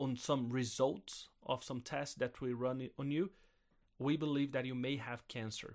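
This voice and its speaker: Someone with a Brazilian accent speaks at a fairly slow pace on a very clean recording with a silent background. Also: man. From southern Brazil. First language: Portuguese. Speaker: missionary pastor and podcast co-host. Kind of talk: personal testimony in a casual chat.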